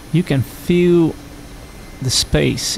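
A man speaks at a very slow pace with ordinary pitch variation. Noticeable background noise sits behind him. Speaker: gaming video creator. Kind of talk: gameplay commentary. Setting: home recording over game audio. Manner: hesitant, many fillers; slurred speech at times.

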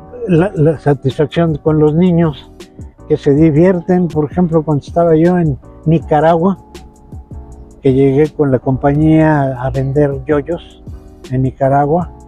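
A man's fairly high voice at a very slow pace, with fairly even intonation, long, frequent pauses, a dry sound with no echo and faint music in the background. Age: 70s. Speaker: yoyo and spinning top performer. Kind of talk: interview answer. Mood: warm, fond. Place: street. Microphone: lapel.

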